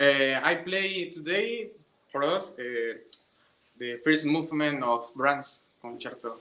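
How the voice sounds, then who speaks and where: A very slow man's voice, fairly high in pitch, with lively intonation. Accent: Spanish. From Venezuela. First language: Spanish. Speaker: orchestra violinist and student. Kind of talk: casual chat. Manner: halting.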